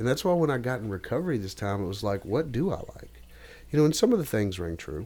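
With a Tennessee accent, a man talks at a very fast pace in a medium-pitched voice with a dark, mellow tone and very wide pitch swings. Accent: Southern US (Tennessee). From US South. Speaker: podcast guest. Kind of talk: casual chat.

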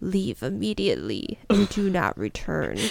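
The speaker uses a put-on character voice. Its pitch sits low to middle. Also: moderate pace. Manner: warning, ominous.

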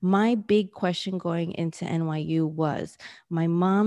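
In a New York accent, a woman speaks at a fairly slow pace and a fairly low pitch, her tone dark and mellow and her intonation fairly even, over a quiet background. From New York City. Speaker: business coach. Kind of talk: interview.

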